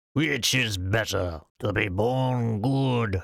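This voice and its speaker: A man puts on a character voice at medium pitch and draws his words out at a very slow pace. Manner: epic, grand.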